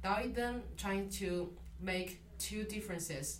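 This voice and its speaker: A woman with a Chinese accent talks at a medium pitch, with audible room echo and noticeable background noise. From China. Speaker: literature graduate student. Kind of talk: interview. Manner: halting, many fillers.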